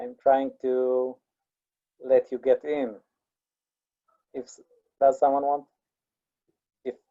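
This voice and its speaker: Very slow speech in an Israeli accent. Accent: Israeli, Hebrew. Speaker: teacher or lecturer reading a text to a class.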